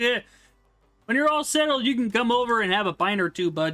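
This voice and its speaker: Faint music plays in the background as a man does a put-on character voice at an extremely high pitch and a fairly quick pace. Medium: virtual streamer. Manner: gruff, blunt.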